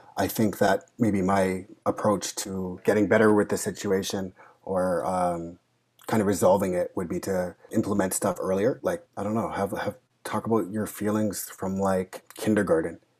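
A man speaks softly in a fairly low voice. His intonation is monotone and flat. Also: moderate pace. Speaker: social worker. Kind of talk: casual chat. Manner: soft-spoken.

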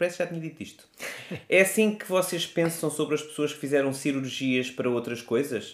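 This man has a normal speaking voice with a fairly high pitch. His intonation is lively. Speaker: podcast co-host. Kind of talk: casual chat.

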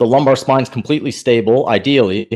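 This is a man with a medium pitch. He has an unremarkable speaking voice. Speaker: podcast co-host. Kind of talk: casual interview.

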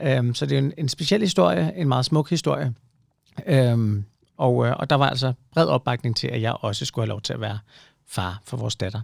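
In a normal speaking voice, a man talks at a moderate pace and medium pitch with lively intonation on a very clean recording with a silent background. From provincial Denmark. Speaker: podcast host. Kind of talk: casual chat.

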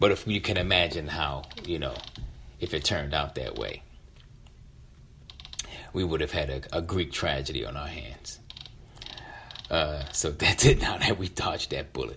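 Extremely low-pitched yet fairly bright in tone, a man speaks with lively intonation at a fairly slow pace, leaving long, frequent pauses.

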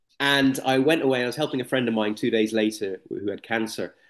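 A man's plain, everyday voice at medium pitch, with lively intonation and a fairly quick pace over a quiet background. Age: 40s. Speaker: speaker, coach and healer. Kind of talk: interview; guided meditation.

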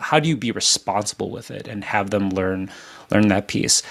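Speaking at a fairly quick pace, a man with an unremarkable speaking voice sits fairly low in pitch with ordinary pitch variation, on a very clean recording with a silent background. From Filipino-American family. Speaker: podcast host. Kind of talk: casual interview.

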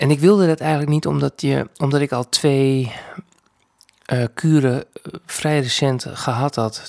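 A man at a medium pitch and a very slow pace, in a dry, close sound with no echo. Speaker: podcast host and filmmaker living with lung cancer. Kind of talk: personal audio diary. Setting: recording at home late at night. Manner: halting, many hesitations.

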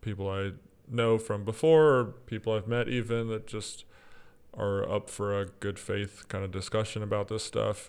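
A man speaks with an American accent at a fairly low pitch and a fairly slow pace. It is an ordinary speaking voice with fairly even intonation. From US South, East Texas. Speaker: audio producer and former church worship leader. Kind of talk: casual interview conversation. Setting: remote recording.

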